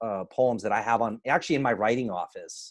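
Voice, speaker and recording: A man talks at a medium pitch. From Cuban American, grew up in US. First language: Spanish. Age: adult. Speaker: event host and poet. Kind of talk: event closing remarks. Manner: halting, many repetitions.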